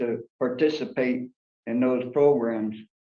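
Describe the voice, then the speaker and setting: A man talks at a fairly slow pace with ordinary pitch variation. Audible room echo surrounds his voice. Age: 60s. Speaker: prison inmate. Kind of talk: parole hearing testimony. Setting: video call. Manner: formal.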